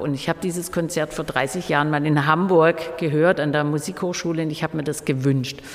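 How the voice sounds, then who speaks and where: Noticeable background noise behind moderately paced speech with fairly level intonation. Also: woman. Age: 50s. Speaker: exhibition curator and festival organizer. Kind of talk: interview. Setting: museum during exhibition setup.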